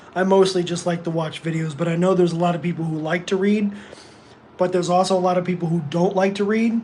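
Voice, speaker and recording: Noticeable background noise fills the clip. The words rush out at a very fast pace. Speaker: livestreamer. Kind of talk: casual chat. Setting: live stream. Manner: loud; animated.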